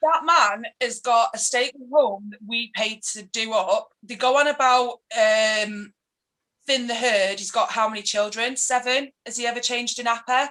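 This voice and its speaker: A woman with a Mancunian accent, fairly high in pitch, at a moderate pace, with ordinary pitch variation and big swings in loudness. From Manchester, England. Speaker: political activist. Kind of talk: casual interview chat. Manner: animated, ranting.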